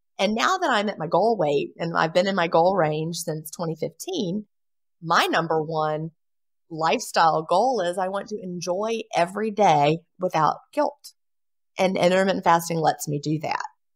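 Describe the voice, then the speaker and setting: On a very clean recording with a silent background, the speaker talks at a moderate pace with ordinary pitch variation. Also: woman. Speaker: bestselling author. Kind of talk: interview answer.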